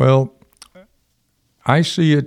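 A man's slow speech with vocal fry. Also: slightly mellow tone.

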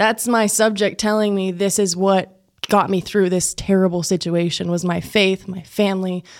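On a very clean recording with a silent background, a woman with an American accent speaks at a medium pitch and moderate pace in a flat monotone. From West Texas (Plains, near Lubbock). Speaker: TV news reporter and anchor. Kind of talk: casual chat. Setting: studio.

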